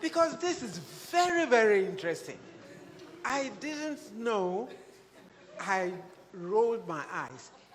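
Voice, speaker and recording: A woman speaks at a fairly high pitch and a very slow pace, with long, frequent pauses, very wide pitch swings and big swings in loudness. Audible room echo and noticeable background noise fill the recording. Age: 80s+. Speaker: music teacher. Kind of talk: panel discussion. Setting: stage with audience. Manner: halting.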